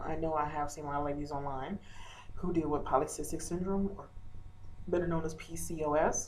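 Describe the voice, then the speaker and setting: With ordinary pitch variation, a woman talks through noticeable background noise and audible room echo. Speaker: video blogger. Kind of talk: casual vlog update. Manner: hesitant, many fillers.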